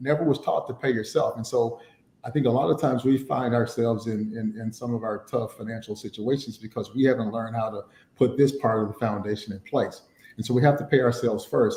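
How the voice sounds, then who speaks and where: A man's dark, mellow, somewhat breathy voice at medium pitch, very fast, with fairly even intonation. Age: 50s. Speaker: financial planning speaker. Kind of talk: webinar teaching talk. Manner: many fillers and repetitions.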